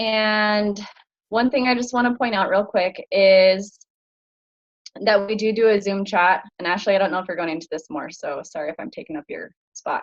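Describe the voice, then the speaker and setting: This woman uses an ordinary speaking voice. Her medium pitch shows ordinary pitch variation. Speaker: fitness coach. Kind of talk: online group orientation talk. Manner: casual, filler-heavy. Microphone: slow internet connection.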